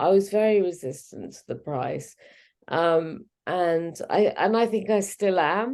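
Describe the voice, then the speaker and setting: A woman's medium-pitched voice at a fairly slow pace, with ordinary pitch variation and big swings in loudness. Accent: English. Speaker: fertility expert. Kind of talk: casual chat. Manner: halting.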